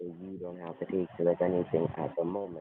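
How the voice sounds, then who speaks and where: A soft-spoken man with a very deep, low pitch. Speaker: scam caller posing as prize official. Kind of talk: scam phone call pitch. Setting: phone call. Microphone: connection cutting in and out.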